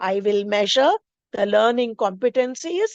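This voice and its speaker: In an Indian accent, a woman speaks at a fairly slow pace with ordinary pitch variation, the sound dry and close with no echo. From India, Maharashtra. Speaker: teacher trainer, English teacher. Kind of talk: teacher training lecture. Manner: explanatory, with frequent fillers.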